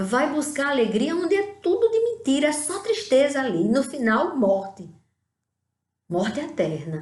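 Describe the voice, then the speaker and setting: Amid audible room echo, a high-pitched woman speaks at a fairly slow pace with very wide pitch swings. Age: 60s. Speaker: lay preacher. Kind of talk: sermon.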